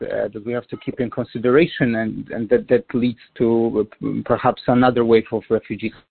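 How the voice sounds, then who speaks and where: In a Polish accent, a man speaks with monotone, flat intonation. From Poland. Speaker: diplomat. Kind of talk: interview.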